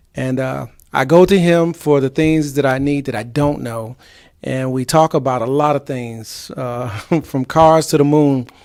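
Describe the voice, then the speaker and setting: A man with a normal speaking voice and a fairly high pitch. He talks at a fairly slow pace with fairly even intonation. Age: 50s. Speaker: talk show host. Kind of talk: casual chat.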